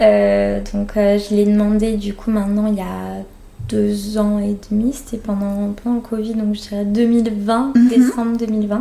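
Against noticeable background noise, a woman speaks very slowly in a flat monotone. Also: medium pitch for a woman. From France. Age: 30s. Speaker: interviewee sharing adoption story. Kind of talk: personal testimony interview. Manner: hesitant, many fillers.

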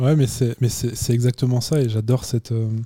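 A man talks at a fairly quick pace. His voice is somewhat breathy, with a dark, mellow tone. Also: dry, close sound with no echo. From Chamonix, French Alps. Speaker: podcast host. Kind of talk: casual interview. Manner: hesitant, many filler words.

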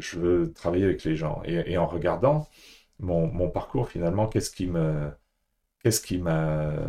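A man's very deep, low voice with a dark, mellow tone, fairly slow pace and long, frequent pauses, on a very clean recording with a silent background. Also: ordinary pitch variation. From France, Paris. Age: 60s. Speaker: executive coach, former banker. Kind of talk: podcast interview. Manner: halting, with repetitions.

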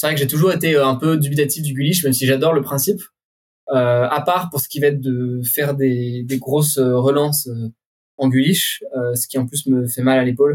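A man's somewhat breathy, fairly high voice with fairly even intonation at a moderate pace. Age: 20s. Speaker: urban climber. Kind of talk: casual interview.

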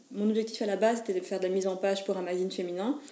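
Over noticeable background noise, a woman of medium pitch speaks at a very fast pace with ordinary pitch variation. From Belgium, Mons. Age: 20s. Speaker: photographer and wedding entrepreneur. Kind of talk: interview. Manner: halting.

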